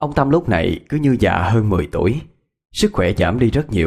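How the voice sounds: A natural reading voice with lively intonation, over a quiet background.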